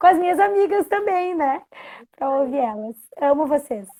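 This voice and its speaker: A woman speaks at a moderate pace. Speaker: guest bible storyteller. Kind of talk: casual live-stream chat. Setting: Instagram live.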